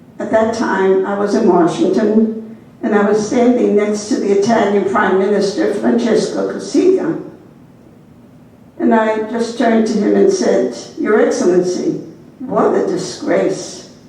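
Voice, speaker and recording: A woman with a fairly high pitch speaks with lively intonation. Audible room echo and noticeable background noise fill the recording. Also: fairly slow pace. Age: 80s+. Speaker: nun and historian. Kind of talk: keynote lecture. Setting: embassy event with audience.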